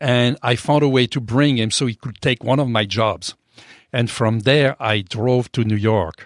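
A man's medium-pitched voice with a French accent at a moderate pace, dry and close with no echo, over a quiet background. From France. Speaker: chef and restaurant owner. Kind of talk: interview. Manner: hesitant, many fillers.

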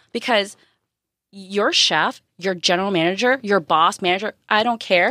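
On a very clean recording with a silent background, a woman with an American accent speaks at a moderate pace in a bright, sharp, animated tone. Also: medium pitch for a woman, ordinary pitch variation, very even loudness. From Japan, US military base. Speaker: chef. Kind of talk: casual chat.

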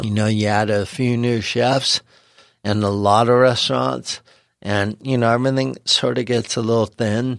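A man's fairly low pitch with ordinary pitch variation at a fairly slow pace, on a very clean recording with a silent background. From Los Angeles, US. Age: 40s. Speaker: chef. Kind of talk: casual interview. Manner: halting, many fillers.

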